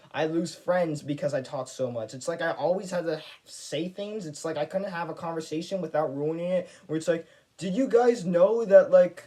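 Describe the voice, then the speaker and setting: With noticeable background noise behind him, a man speaks at a high pitch with ordinary pitch variation. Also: moderate pace. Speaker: YouTuber. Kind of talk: casual vlog monologue. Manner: stutters; talkative, rambling flow.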